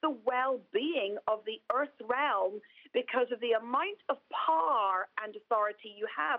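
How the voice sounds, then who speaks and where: Lively intonation marks this woman's high voice, delivered in an Irish accent. She speaks at a fairly slow pace. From Ireland. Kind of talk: interview.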